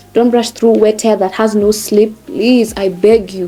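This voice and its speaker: Over background music, a woman with a fairly high pitch speaks at a fairly slow pace. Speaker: hair care vlogger. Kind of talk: tutorial. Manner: animated.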